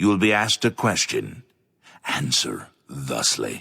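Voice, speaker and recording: A man performs a put-on character voice. His pace is fairly slow. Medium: video game. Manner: slow, solemn.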